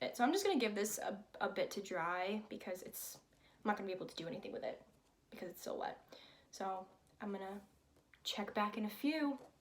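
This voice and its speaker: Somewhat breathy, a woman speaks at a very fast pace with ordinary pitch variation, broken up by long, frequent pauses. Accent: American. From Connecticut, US. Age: 20s. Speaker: college student and vlogger. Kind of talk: casual vlog chat while painting. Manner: casual, hesitant with fillers.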